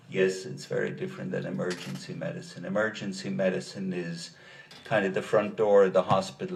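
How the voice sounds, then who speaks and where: A man speaks in an Irish accent. Audible room echo and noticeable background noise surround him. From Ireland, rural County Kilkenny. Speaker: doctor, expert witness. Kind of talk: courtroom testimony. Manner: measured, explanatory.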